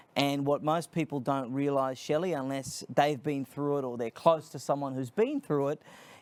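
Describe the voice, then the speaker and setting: A man with an Australian accent talks at a moderate pace and a fairly high pitch, with hardly any pauses. His intonation is fairly even, and the recording is very clean with a silent background. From Australia, Sydney. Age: 30s. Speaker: nonprofit founder, speaker. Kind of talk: interview.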